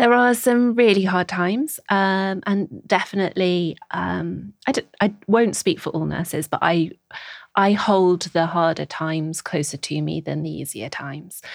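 A woman with a Scouse accent speaks at a fairly low pitch and a fairly slow pace, with ordinary pitch variation. The background is quiet. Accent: Scouse-tinged northern English. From Merseyside (Birkenhead, the Wirral), England. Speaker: nurse educator. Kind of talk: interview. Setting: studio.

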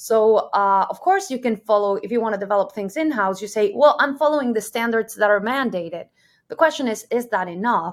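In a Spanish accent, a woman speaks at a fairly quick pace with a fairly high pitch and ordinary pitch variation. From Mexico. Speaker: solutions architect, engineer. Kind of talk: interview.

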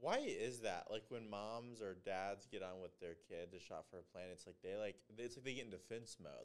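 A man with an unremarkable speaking voice talks at a moderate pace in a fairly low pitch, with ordinary pitch variation and hardly any pauses. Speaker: podcast co-host. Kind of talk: casual chat.

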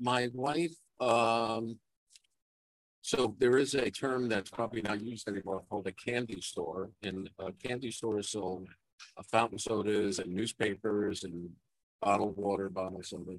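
A man's fairly low voice in a New York accent, moderate pace and ordinary pitch variation. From Brooklyn, New York. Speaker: veteran geotechnical engineer, teacher. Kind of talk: casual interview. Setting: conference floor, live broadcast. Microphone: poor audio.

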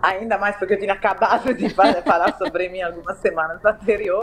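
A woman with a slight Italian accent speaks at a medium pitch and a moderate pace. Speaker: marketing director and novelist. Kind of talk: interview, personal testimony.

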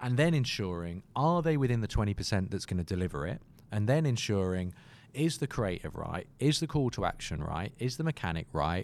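A man with a British accent, medium pitch and very wide pitch swings, at a fairly quick pace. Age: 30s. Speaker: marketing agency co-founder. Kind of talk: interview conversation.

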